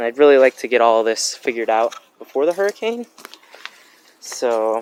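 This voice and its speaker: A man speaks in a plain, everyday voice at medium pitch and a moderate pace, with ordinary pitch variation. The sound is dry and close, with no echo. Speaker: DIY mechanic video maker. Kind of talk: casual tutorial.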